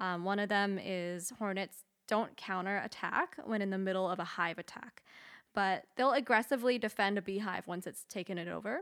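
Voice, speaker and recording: Here is a woman with an unremarkable speaking voice. She keeps a moderate pace and ordinary pitch variation. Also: medium pitch for a woman. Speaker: guest on podcast. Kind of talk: casual chat. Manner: nervous, laughs often.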